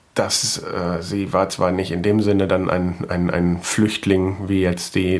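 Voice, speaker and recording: With noticeable background noise behind him, a man with a very deep, low pitch speaks at a fairly slow pace. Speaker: podcaster. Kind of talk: casual monologue; reading aloud.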